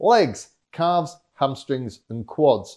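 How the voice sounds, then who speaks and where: With a Yorkshire accent, a man speaks very slowly in a dark, mellow tone, his fairly high pitch making very wide swings. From Yorkshire, northern England. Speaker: fitness vlogger and motivational speaker. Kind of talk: scripted vlog monologue. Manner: animated.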